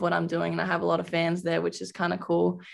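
A woman with an Australian accent, on a very clean recording with a silent background. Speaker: college basketball player. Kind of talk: interview.

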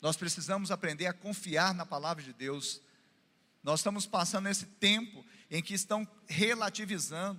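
A man speaks in a raised, projected voice with a bright, sharp tone and high pitch. His delivery is animated, at a moderate pace with ordinary pitch variation. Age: 40s. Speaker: pastor. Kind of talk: sermon. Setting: church.

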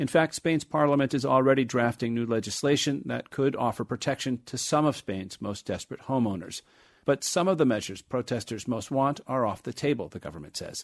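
This is an ordinary speaking voice from a man at medium pitch with ordinary pitch variation. He talks at a fairly quick pace with hardly any pauses over a quiet background. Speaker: radio correspondent. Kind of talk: formal newsreading, scripted radio report delivered in a steady, polished broadcast voice. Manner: formal; measured, even-paced, clear and authoritative.

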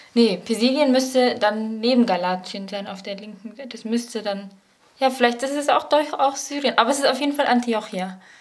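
At a fairly quick pace, a woman talks in a high pitch with ordinary pitch variation and big swings in loudness, over noticeable background noise. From Paderborn, Germany. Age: 20s. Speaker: bible college student, quiz contestant. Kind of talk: quiz.

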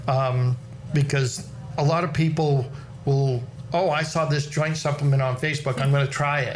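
Flat, monotone intonation at a moderate pace carries through audible room echo. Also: man, fairly high pitch for a man. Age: 60s. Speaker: farrier. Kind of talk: casual chat.

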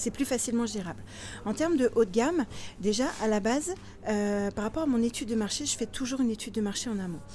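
Talking at a very fast pace, a woman with a fairly high pitch and a dark, mellow tone uses lively intonation. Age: 40s. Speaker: property investor and blogger. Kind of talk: interview. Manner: animated.

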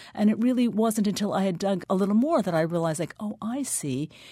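A woman's somewhat breathy voice in a very clean recording with a silent background. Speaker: novelist. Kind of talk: radio interview. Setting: radio studio.

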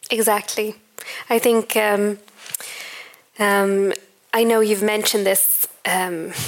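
Talking very slowly, a woman at medium pitch keeps her intonation flat and monotone. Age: young. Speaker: interviewer and doctoral researcher. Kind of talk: onstage interview. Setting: stage with audience.

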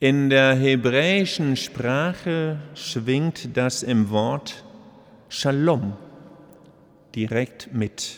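A man speaks at a medium pitch with ordinary pitch variation. His pace is very slow, broken by long, frequent pauses. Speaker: bishop. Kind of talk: sermon. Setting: cathedral service. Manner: earnest, formal.

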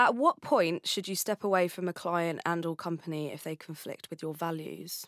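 A woman with an ordinary speaking voice, fairly low in pitch, talks at a moderate pace with hardly any pauses, ordinary pitch variation and big swings in loudness, in a dry, close sound with no echo on a very clean recording with a silent background. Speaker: podcast host. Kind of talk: interview conversation.

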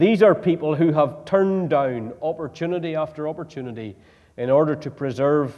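A man with a Northern Irish accent speaks at a moderate pace, his dark, mellow tone carried by lively intonation. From Northern Ireland. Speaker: preacher. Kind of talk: sermon. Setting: church.

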